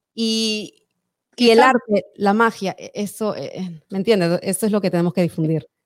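Dry and close with no echo, a woman's voice sits at a medium pitch with ordinary pitch variation. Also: moderate pace. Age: 40s. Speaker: podcast host. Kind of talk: live-streamed interview. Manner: animated.

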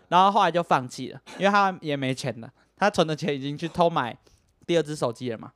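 A man with a fairly high pitch and an animated tone, at a fairly quick pace, with ordinary pitch variation, big swings in loudness, a dry, close sound with no echo, and a very clean recording with a silent background. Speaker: podcast host. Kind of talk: casual chat. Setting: home recording with microphones.

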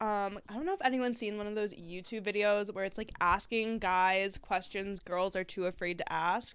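A woman with an unremarkable speaking voice talks at a moderate pace with hardly any pauses and fairly even intonation. The recording is very clean, with a silent background. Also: medium pitch for a woman. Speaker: podcast co-host, college student. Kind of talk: casual chat.

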